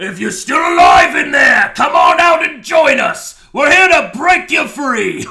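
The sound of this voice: A man shouts in a put-on character voice at an extremely high pitch. His pace is fairly slow.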